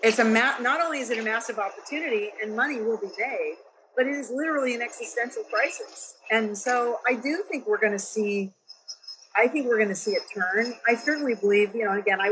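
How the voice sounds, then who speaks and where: With an American accent, a woman talks at a fairly quick pace against noticeable background noise. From US West Coast, San Francisco Bay Area. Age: 60s. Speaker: venture investor and entrepreneur. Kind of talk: podcast interview.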